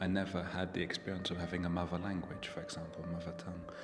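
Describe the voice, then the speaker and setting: Music plays in the background as a soft-spoken man talks in a calm tone. His pitch is very deep and low, with a British accent. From England. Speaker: writer. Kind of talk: interview answer. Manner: soft-spoken, calm.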